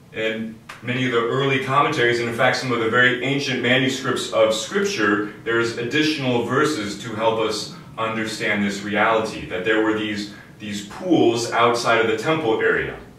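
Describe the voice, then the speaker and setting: A man talks at a moderate pace with ordinary pitch variation. Light background noise and audible room echo are present. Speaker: priest. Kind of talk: sermon. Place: home room. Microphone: camera far.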